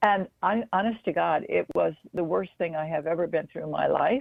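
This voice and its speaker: A woman with vocal fry speaks at a moderate pace, her fairly low pitch carried by lively intonation. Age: 70s. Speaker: marathon runner and speaker. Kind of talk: interview. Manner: hesitant with many fillers.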